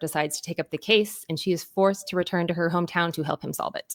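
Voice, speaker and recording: This is an ordinary speaking voice from a woman with an American accent, fairly low in pitch with ordinary pitch variation. The recording is very clean, with a silent background. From Texas, Austin. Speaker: author. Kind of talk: interview.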